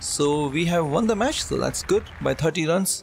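A man's somewhat breathy voice, fairly high in pitch, at a moderate pace. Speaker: gaming YouTuber doing his own cricket commentary. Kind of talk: live sports commentary over video game play, self-recorded. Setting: voiceover recorded over gameplay, edited. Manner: shifts to casual chatty explanation between play.

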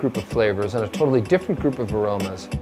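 A man is speaking. Behind him, music can be heard. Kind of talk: interview answer. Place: workshop.

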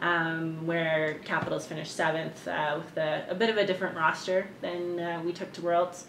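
In a Canadian accent, a woman with a fairly low pitch speaks at a moderate pace in a flat monotone with hardly any pauses, over light background noise and audible room echo. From Canada, Winnipeg; Manitoba, Canada. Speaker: ultimate frisbee player; interviewee. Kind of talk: interview. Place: home room. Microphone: camera far.

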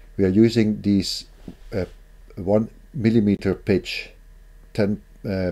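With fairly even intonation, a man's voice carries a dark, mellow tone. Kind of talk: tutorial. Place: home room.

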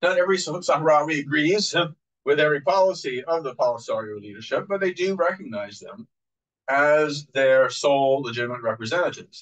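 A man talks at a fairly quick pace in an American accent. His pitch is fairly high, and he has an unremarkable speaking voice. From United States. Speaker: professor. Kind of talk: public lecture. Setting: venue with live audience.

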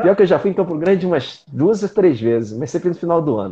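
Here a man speaks at a high pitch and a very fast pace. His intonation is lively. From Rio de Janeiro, Brazil. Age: 50s. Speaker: karate master and champion; karate instructor guest. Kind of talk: casual interview. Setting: online live stream. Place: home room.

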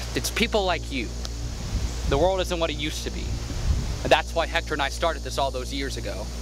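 A man talks at a fairly quick pace. The sound is dry with no echo, and music plays in the background. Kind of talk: acted dramatic dialogue. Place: forest.

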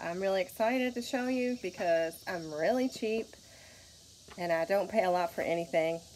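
A woman with a Kentucky accent, lively intonation, a moderate pace and light background noise. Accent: Kentucky twang. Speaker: vintage booth vendor. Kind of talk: casual talk to camera. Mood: cheerful, excited. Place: garage. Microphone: phone near.

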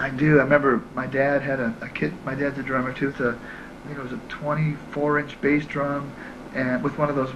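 A man at a moderate pace, monotone and flat in intonation, over noticeable background noise. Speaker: interviewee. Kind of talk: interview answer. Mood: relaxed, friendly. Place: home room. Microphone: handheld.

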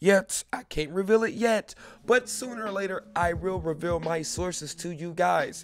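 A high-pitched man's voice, animated in tone, at a moderate pace. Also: ordinary pitch variation. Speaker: YouTube reaction video host. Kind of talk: casual vlog chat to camera.

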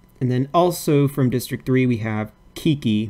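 His tone is dark and mellow, and this man speaks at a fairly slow pace. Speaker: YouTuber hosting a fan-art game simulator video. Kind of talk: casual commentary reading out game events. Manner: halting, many fillers and repetitions.

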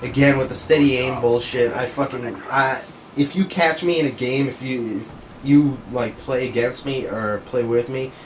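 With noticeable background noise behind him, a man of medium pitch speaks at a moderate pace with fairly even intonation. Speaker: gaming commentator. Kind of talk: gameplay commentary. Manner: casual, profane.

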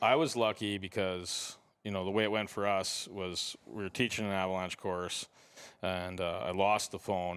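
A man speaks in a plain, everyday voice, fairly low in pitch, at a moderate pace with fairly even intonation, on a very clean recording with a silent background. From Canada. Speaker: avalanche safety instructor. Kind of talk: casual interview. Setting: snowmobile trade show.

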